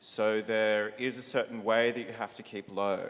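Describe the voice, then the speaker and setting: A man speaks at a very slow pace with an Australian accent. His pitch is medium. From Australia (Melbourne). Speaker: drag performer, panelist. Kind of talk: panel discussion.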